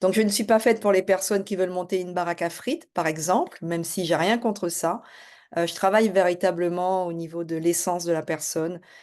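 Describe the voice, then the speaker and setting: A woman with a fairly low pitch talks at a fairly quick pace with fairly even intonation, the background quiet. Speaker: life and business coach. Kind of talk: self-introduction video. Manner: hesitant, many fillers.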